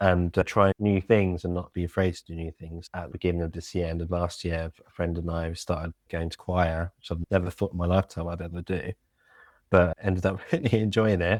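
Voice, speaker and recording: A man's very deep, low voice in a British accent, flat and monotone at a fairly quick pace, with big swings in loudness, a dry, close sound with no echo and a very clean recording with a silent background. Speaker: local government communications lead. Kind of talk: podcast interview.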